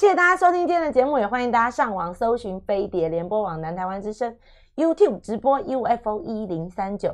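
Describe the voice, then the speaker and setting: At a moderate pace, a woman with a fairly high pitch makes very wide pitch swings against a quiet background. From Taiwan, Taipei; Taiwan. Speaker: radio host. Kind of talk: radio interview. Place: studio. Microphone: studio mic.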